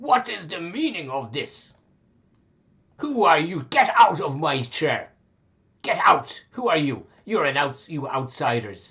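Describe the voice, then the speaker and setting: Using a put-on character voice, a man speaks at a fairly high pitch with very wide pitch swings, a fairly slow pace and long, frequent pauses. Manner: pompous, indignant, demanding.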